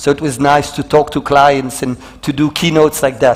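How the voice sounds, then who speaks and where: A man with a French accent speaks over noticeable background noise. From Belgium. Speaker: motivational speaker. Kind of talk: keynote talk. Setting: stage with audience.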